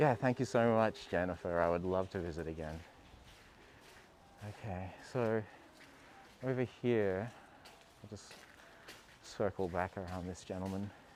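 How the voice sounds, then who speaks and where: Very deep and low in pitch, a man speaks with ordinary pitch variation, big swings in loudness, and long, frequent pauses. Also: moderate pace. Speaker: travel vlogger. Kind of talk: live stream walking tour. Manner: casual, hesitant.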